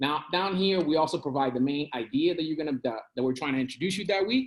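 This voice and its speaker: The delivery has a very fast pace. Its intonation is lively. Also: man. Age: 30s. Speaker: coding instructor. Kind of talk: online presentation.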